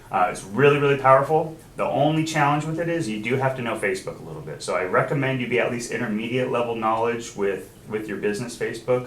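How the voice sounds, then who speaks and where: Through audible room echo and noticeable background noise, a man speaks at a very fast pace with hardly any pauses, his medium pitch showing ordinary variation. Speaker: software trainer for title company. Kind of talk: training class with screen demo.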